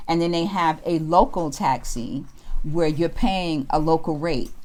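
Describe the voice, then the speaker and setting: A woman's voice, fairly low in pitch, with a New York accent. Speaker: travel vlogger. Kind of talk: interview.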